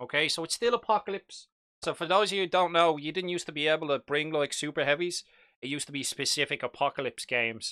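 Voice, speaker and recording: A man's very fast, fairly high-pitched speech with an Irish accent, ordinary pitch variation and a bright, sharp tone. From Ireland, Dublin. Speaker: live-stream hobby host. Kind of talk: live stream chat about miniature wargaming. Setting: live stream in front of a green screen. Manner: casual, chatty.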